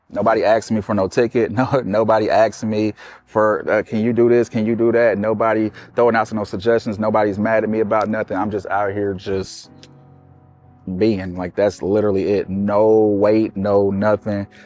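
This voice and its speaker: Music plays in the background as a man speaks at a fairly low pitch. His intonation is monotone and flat. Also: moderate pace. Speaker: comedian and show founder. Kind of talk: interview.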